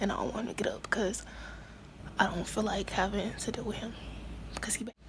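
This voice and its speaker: A woman whispers at a fairly quick pace. Noticeable background noise and audible room echo come through. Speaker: beauty vlogger. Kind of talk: casual vlog talk. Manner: hesitant, filler-heavy.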